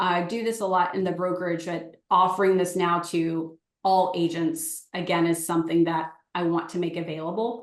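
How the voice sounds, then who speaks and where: A woman talks at a moderate pace in an ordinary speaking voice. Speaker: real estate agent and coach. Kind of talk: webinar sales pitch. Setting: live webinar.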